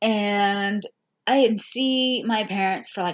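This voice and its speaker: In a normal speaking voice, a woman talks fairly slowly at a medium pitch. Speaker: vlogger. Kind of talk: casual chat.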